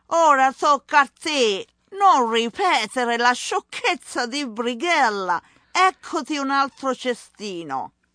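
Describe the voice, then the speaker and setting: A woman speaks in a raised, projected voice at a fairly slow pace, with a high pitch and very wide pitch swings. Her tone is bright and sharp, animated and theatrical. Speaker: podcast host and Italian language instructor. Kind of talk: dramatic storytelling narration in Italian, acting out the tale. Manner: animated, theatrical, expressive storyteller.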